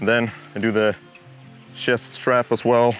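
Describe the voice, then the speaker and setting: A man talks at a medium pitch with a Swedish accent. Music plays in the background. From Sweden. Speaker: outdoor YouTuber. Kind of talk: casual talk to camera. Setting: outdoors.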